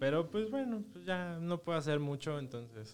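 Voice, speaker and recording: A man with a Mexican accent, lively intonation and a moderate pace. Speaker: podcast host. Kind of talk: casual chat.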